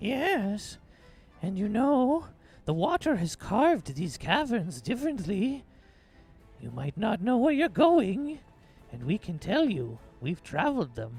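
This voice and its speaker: A man puts on a shrill, high-pitched character voice with very wide pitch swings. He goes at a fairly slow pace, with long, frequent pauses. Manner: wheedling, coaxing.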